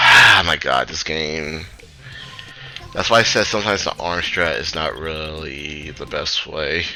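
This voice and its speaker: A man speaks at a fairly slow pace in a very deep, low voice with fairly even intonation over music in the background. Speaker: speedrunner. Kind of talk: tutorial. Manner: halting, stuttering.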